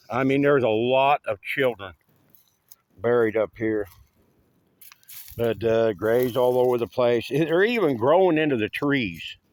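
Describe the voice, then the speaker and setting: A man with an Appalachian accent talks at a fairly slow pace, leaving long, frequent pauses. The sound is dry and close, with no echo. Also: medium pitch for a man, ordinary pitch variation. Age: 60s. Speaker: volunteer cemetery cleaner. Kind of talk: casual video walkthrough. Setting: outdoors. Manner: casual, hesitant with fillers.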